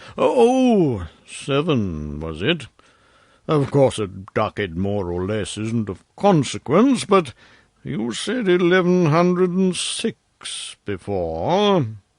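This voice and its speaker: A man's put-on character voice, fairly high for a man, at a very slow pace with very wide pitch swings over a quiet background. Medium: read story. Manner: deliberate, insinuating.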